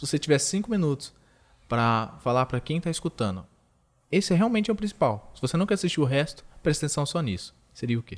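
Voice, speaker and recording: Against a very clean, silent background, a man talks at a very fast pace in a fairly high voice with very wide pitch swings. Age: 20s. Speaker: podcast host. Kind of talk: interview.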